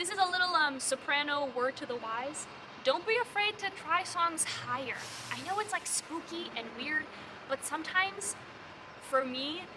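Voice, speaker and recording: Over noticeable background noise, a woman with an extremely high pitch speaks in a raised, projected voice, her tone animated and her intonation lively, at a moderate pace. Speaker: musical theatre audition coach. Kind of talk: casual tutorial vlog.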